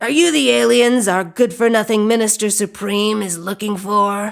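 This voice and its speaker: A raspy, put-on character voice with fairly high pitch moves at a moderate pace. The recording is very clean, with a silent background. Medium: read story.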